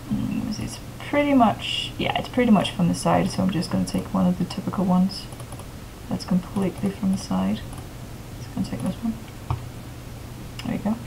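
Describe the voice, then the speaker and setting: A woman talks at a fairly quick pace with long, frequent pauses. Noticeable background noise runs underneath. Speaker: tutorial maker. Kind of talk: tutorial.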